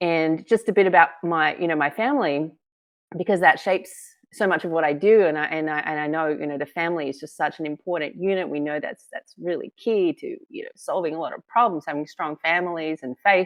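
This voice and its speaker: At a fairly quick pace, a woman with an Australian accent talks in a fairly low pitch with big swings in loudness. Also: ordinary pitch variation. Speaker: filmmaker and author. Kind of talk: interview.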